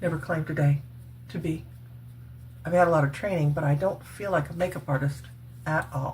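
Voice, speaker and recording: Pausing long and often, a woman talks at a fairly quick pace in a very deep, low voice with vocal fry and ordinary pitch variation. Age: 60s. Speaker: retired cosmetics worker and faith vlogger. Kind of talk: makeup tutorial. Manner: casual, chatty.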